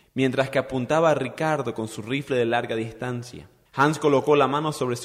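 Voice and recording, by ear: Reading aloud, the speaker keeps a natural voice.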